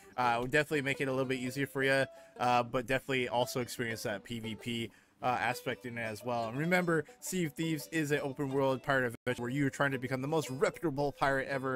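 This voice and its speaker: The speech moves at a very fast pace. The sound is dry with no echo, over light background noise. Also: man, ordinary pitch variation. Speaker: game streamer host. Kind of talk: commentary. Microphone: headset.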